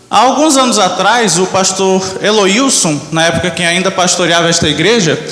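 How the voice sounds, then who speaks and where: Noticeable background noise and audible room echo surround the voice. A man speaks at a high pitch. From Brazil, Manaus. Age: 20s. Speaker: church member giving testimony, graphic designer. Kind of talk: testimony. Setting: church.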